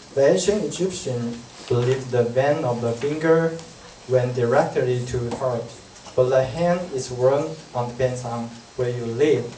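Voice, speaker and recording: Noticeable background noise accompanies a man speaking at a moderate pace. His medium pitch shows ordinary variation. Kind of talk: read-aloud class presentation. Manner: halting, with self-corrections.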